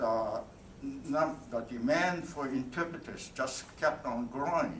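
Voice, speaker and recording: Noticeable background noise sits behind a man talking. He goes at a very slow pace with ordinary pitch variation. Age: 80s+. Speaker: World War II veteran, military interpreter. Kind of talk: speech to an audience. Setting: convention hall.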